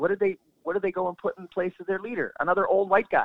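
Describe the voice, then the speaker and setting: Very fast and high-pitched, a man rattles through his words. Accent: Canadian. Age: 40s. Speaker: retired soldier, war veteran. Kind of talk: interview. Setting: phone call.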